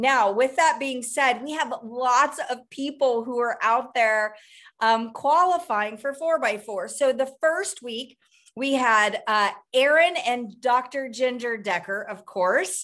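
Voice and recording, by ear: Her pitch fairly high and her tone fairly bright, a woman speaks at a slow pace with ordinary pitch variation.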